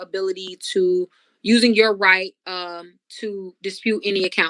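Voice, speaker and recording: A woman speaks at a medium pitch in a bright, sharp tone. The sound is dry and close with no echo, on a very clean recording with a silent background. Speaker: credit repair specialist. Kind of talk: educational talk. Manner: fast.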